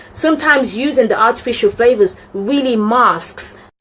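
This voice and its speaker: Noticeable background noise sits behind a woman with a fairly high pitch. She speaks at a fairly slow pace with lively intonation. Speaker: cooking channel host. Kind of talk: live stream cooking tips chat.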